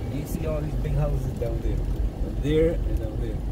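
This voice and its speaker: The speech moves at a fairly slow pace. Loud background noise is present throughout. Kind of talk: casual vlog chat. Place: car. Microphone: phone near.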